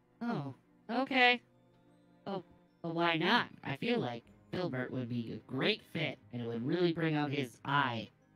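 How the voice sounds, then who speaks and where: Using a put-on character voice at a middle pitch, the speaker moves at a moderate pace with long, frequent pauses. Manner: cheerful, naive.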